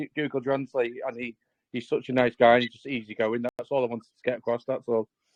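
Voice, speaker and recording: This man talks with a Scouse accent. His pace is very fast. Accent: Scouse-sounding. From northern England, Southport. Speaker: community member supporting a project. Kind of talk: casual chat.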